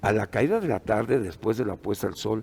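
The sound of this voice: Vocal fry runs through a man's fairly low-pitched voice, which has a slightly mellow tone. He moves at a fairly quick pace with lively intonation.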